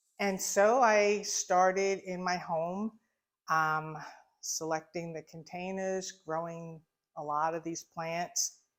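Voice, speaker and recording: A woman with a Long Island accent, fairly low in pitch, at a very slow pace and with fairly even intonation, on a very clean recording with a silent background. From US, Long Island, New York. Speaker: shop owner. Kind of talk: casual interview. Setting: in her shop.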